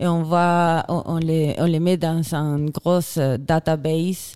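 A woman with a Chilean accent speaks at a fairly low pitch in a dark, mellow tone. The sound is dry and close, with no echo. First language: Spanish (speaking French). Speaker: glaciologist and filmmaker. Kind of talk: interview. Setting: festival radio studio.

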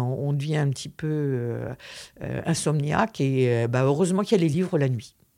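A woman with a very deep, low pitch and a dark, mellow tone speaks at a very slow pace with ordinary pitch variation on a very clean recording with a silent background. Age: 60s. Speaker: visually impaired guest. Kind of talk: interview testimony. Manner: halting.

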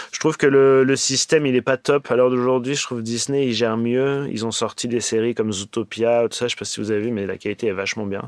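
A man's medium-pitched, very fast speech with hardly any pauses, fairly even intonation and a dry, close sound with no echo. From Paris, France. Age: 40s. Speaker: animation supervisor. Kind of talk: interview.

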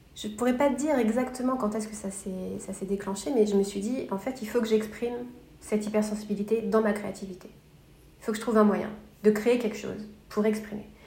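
The intonation is fairly even. Audible room echo and noticeable background noise fill the recording. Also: woman, fairly high pitch for a woman, fairly quick pace. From France, Paris area. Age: 30s. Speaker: blogger and illustrator. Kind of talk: casual interview chat. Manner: talkative.

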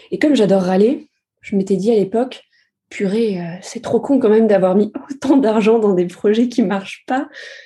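A woman with a fairly high pitch has a dark, mellow, somewhat breathy tone. She talks at a moderate pace with ordinary pitch variation. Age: 20s. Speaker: user researcher. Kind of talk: casual interview.

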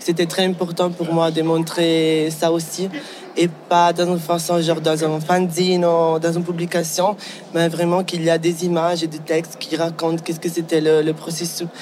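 A man with a high pitch speaks at a moderate pace in a flat, monotone way, with noticeable background noise behind him. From Ticino, Switzerland. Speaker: fashion designer and teacher. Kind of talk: casual interview. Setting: recorded on site at a design awards event. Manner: halting, repeats words.

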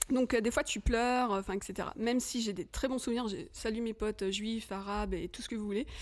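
A woman talks at a fairly quick pace with hardly any pauses, her pitch fairly high and varying in an ordinary way. The recording is very clean, with a silent background. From Paris suburbs, Hauts-de-Seine. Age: 40s. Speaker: film director. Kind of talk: casual chat.

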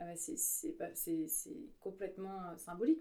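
Very wide pitch swings run through a dark, mellow tone delivered at a moderate pace. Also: woman. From Paris suburbs, France (Yvelines). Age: 40s. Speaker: illustrator and graphic facilitator. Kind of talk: conversational interview. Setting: home studio. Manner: hesitant, many filler sounds.

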